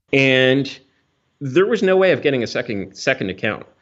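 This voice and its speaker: A man speaks in a plain, everyday voice. His pace is fairly quick and his intonation lively. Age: 40s. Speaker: software developer. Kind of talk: casual chat. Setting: loud jet noise outside.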